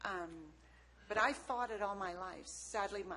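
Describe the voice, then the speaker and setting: A woman's voice carries audible room echo. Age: 60s. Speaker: public commenter at county meeting. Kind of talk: public comment. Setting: county board meeting room. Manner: halting, many fillers.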